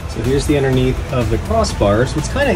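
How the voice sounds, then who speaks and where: A man speaks at a fairly quick pace while clear music plays in the background. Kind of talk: tutorial. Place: garage. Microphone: phone near.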